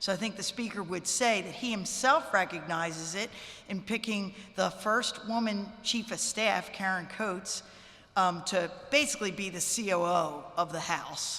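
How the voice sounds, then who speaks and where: At a moderate pace, a woman speaks in an ordinary speaking voice, medium in pitch, with ordinary pitch variation. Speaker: state legislator. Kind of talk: press conference remarks.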